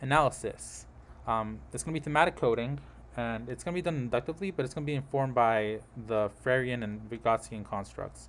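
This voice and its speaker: The pitch varies in an ordinary way as the words come at a fairly quick pace. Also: man, medium pitch for a man. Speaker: graduate student presenting research. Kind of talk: class presentation. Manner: fast.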